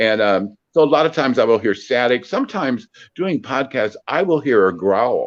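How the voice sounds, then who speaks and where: A man with an American accent speaks at a moderate pace and medium pitch. His intonation is lively, and the background is quiet. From US Midwest, Peoria, Illinois. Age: 60s. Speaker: psychic medium. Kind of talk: interview. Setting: phone call. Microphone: on phone, cutting in and out, mic covered by hand.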